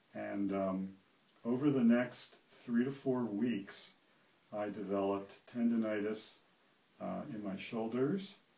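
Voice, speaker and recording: Speaking fairly slowly with long, frequent pauses, a man uses a fairly low voice and fairly even intonation amid audible room echo. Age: 60s. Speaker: retired physician giving a patient testimonial. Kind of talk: testimony. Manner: halting, many fillers.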